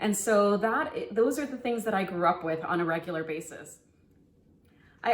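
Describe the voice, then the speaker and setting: With an American accent, a woman talks at a moderate pace in a medium pitch and lively intonation, with noticeable background noise. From Texas, El Paso. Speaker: family physician. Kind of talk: online summit presentation, cooking tutorial. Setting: home kitchen.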